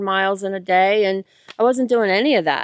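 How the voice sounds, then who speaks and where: At a moderate pace, a woman with an ordinary speaking voice and medium pitch talks in a dry, close sound with no echo. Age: 50s. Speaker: hiker. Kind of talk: casual interview. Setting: outdoors on a hiking trail.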